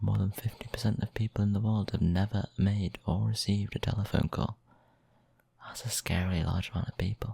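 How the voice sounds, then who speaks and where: Someone soft-spoken talks at a fairly quick pace. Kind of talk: ASMR soft-spoken random facts.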